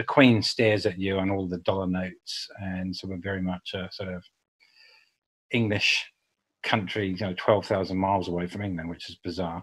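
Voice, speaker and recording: A man speaks with a New Zealand accent at a very deep, low pitch. His intonation is monotone and flat, at a moderate pace. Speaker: public relations agency founder. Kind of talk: podcast interview.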